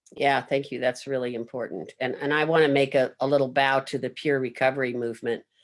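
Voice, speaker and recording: In a very clean recording with a silent background, a man talks at a moderate pace and medium pitch with monotone, flat intonation. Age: 70s. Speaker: panel moderator. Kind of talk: panel discussion.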